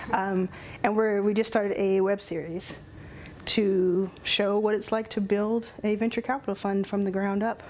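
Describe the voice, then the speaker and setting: A woman speaks with a Texas accent at a medium pitch. Her pace is moderate and her intonation monotone and flat. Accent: Texas twang. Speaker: venture capital founder. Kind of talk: casual chat.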